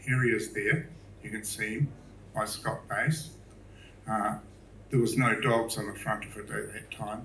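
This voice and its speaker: In a New Zealand accent, a man speaks at a moderate pace and medium pitch with ordinary pitch variation, with audible room echo and noticeable background noise. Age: 70s. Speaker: public speaker, artist. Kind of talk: talk to a live audience. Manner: casual, hesitant with fillers.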